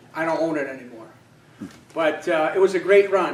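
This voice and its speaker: A man speaks in a high voice. Audible room echo and noticeable background noise surround him. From Poland. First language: Polish. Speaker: political candidate. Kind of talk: campaign speech. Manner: halting, many fillers.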